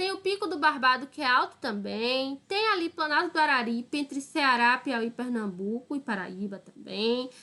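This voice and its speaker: A woman's raised, projected voice, high-pitched and bright and sharp in tone, with very wide pitch swings, a northeastern Brazilian accent, a moderate pace and hardly any pauses. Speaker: school teacher. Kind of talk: online lesson. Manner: casual, explanatory with frequent 'tá?'.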